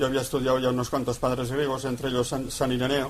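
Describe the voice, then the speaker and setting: This man speaks at a fairly quick pace with a fairly high pitch. Audible room echo surrounds his voice. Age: 80s+. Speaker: priest. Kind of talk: lecture. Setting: radio broadcast. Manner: animated.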